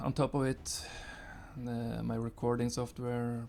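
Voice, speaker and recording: A man's dark, mellow tone in a monotone, flat intonation. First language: not English. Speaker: gaming youtuber. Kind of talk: gameplay commentary. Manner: halting, many fillers. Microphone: new recording setup after software crash.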